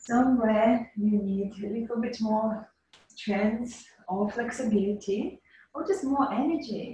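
A woman with an unremarkable speaking voice, fairly high in pitch, ordinary pitch variation, and a fairly slow pace. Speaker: yoga teacher. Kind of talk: guided yoga class instruction. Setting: video call. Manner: calm, soothing.

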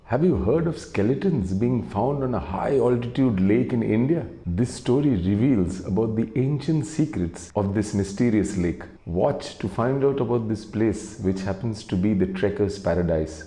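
A man with a fairly low voice speaks at a moderate pace, hardly pausing. Audible echo fills the room. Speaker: video narrator. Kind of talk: scripted mystery documentary narration with a dramatic storytelling build. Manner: measured, hushed suspense-building pace, dramatic and atmospheric; formal, polished, slightly theatrical. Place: home room. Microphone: lapel.

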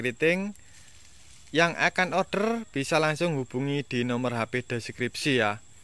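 An upbeat man speaks at a fairly slow pace with a fairly high pitch and lively intonation. The sound is dry with no echo. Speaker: orchid seller. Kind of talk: sales pitch. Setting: video at the orchid stock, seller speaking to camera. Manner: upbeat, persuasive, direct appeal to buyers. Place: garden. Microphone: phone near.

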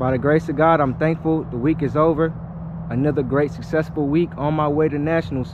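A man at a fairly quick pace with fairly even intonation, dry sound with no echo and noticeable background noise. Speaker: amateur boxer vlogger. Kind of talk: casual vlog chat. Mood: relaxed, thankful. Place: gym. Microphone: phone near.

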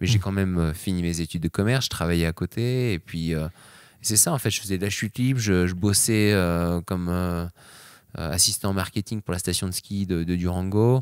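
The man has a very deep, low pitch with ordinary pitch variation at a moderate pace. The sound is dry with no echo against a quiet background. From France. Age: 30s. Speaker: extreme sports athlete; interview guest. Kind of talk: interview. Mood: relaxed, reflective. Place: home room. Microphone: handheld.

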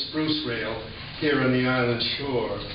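Against faint background music and audible room echo, a man speaks at a fairly slow pace. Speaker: poet. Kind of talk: poetry reading. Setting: live audience in a hall. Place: hall.

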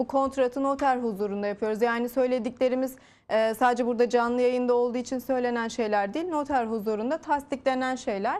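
A woman with a high pitch talks with hardly any pauses. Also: fairly even intonation, fairly quick pace. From Turkey. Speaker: real estate sales manager. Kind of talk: TV interview, sales pitch. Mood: calm, persuasive. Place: studio. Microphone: lapel.

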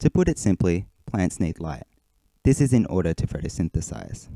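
A man talks at a moderate pace with very wide pitch swings. His tone is dark and mellow, and the sound is dry and close with no echo. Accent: Australian. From Australia. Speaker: hermit crab hobbyist and forum moderator. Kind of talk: presentation.

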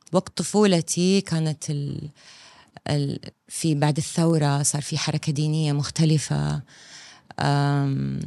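Against a quiet background, a woman with a very deep, low pitch speaks at a fairly slow pace in a dry sound with no echo. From Saudi Arabia, Eastern Province. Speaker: film director. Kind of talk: casual interview chat. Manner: animated. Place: studio. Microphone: studio mic.

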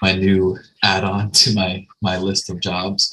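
Music plays in the background as a man speaks in a very deep, low voice. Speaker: course mentor hosting webinar. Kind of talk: webinar introduction. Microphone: video call.

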